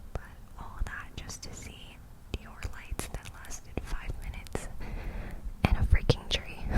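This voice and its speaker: With noticeable background noise behind it, the whisper moves at a fairly slow pace. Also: woman. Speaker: ASMR creator. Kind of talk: ASMR vlog voiceover. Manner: whispered, close to the mic.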